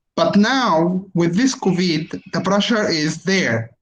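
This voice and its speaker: A man with a high-pitched voice speaks with lively intonation. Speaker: university lecturer in environmental engineering. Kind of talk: online lecture with Q&A. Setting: video call webinar. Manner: hesitant, many fillers.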